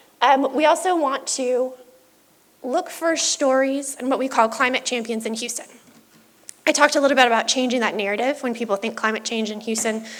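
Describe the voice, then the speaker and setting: Against noticeable background noise, a woman talks fairly quickly at a high pitch with ordinary pitch variation. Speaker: city sustainability officer presenting a plan. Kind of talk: public presentation.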